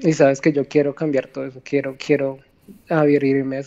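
A woman speaks with a very deep, low pitch and a dark, mellow tone. Her intonation stays monotone and flat. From Colombia, not Medellín region. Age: 30s. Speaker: cancer patient. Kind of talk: testimony. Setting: phone call from hospital. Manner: soft-spoken; halting.

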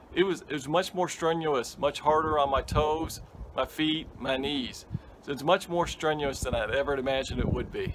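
Noticeable background noise is present. Over it, a man talks at a fairly quick pace. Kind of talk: casual vlog chat. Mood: reflective, enthusiastic. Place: garden. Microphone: phone near.

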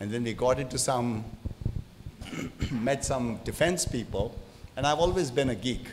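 A man speaks at a moderate pace with ordinary pitch variation. Light background noise is present. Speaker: speaker. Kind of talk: panel discussion answer. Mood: relaxed storytelling. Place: hall. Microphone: handheld.

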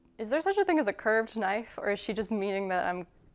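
At a moderate pace, a woman is talking. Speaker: home cook host. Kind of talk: casual cooking tutorial. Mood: light, amused. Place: kitchen.

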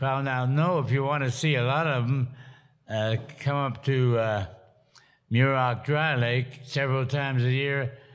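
A man speaks fairly slowly, his intonation fairly even, with a quiet background behind him. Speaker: interview guest. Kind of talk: interview answer. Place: hall.

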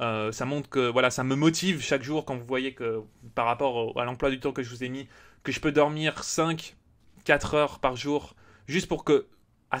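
The recording is very clean with a silent background. A man speaks at medium pitch with ordinary pitch variation. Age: 20s. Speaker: gaming YouTuber. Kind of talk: casual Q&A vlog. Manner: hesitant, many fillers.

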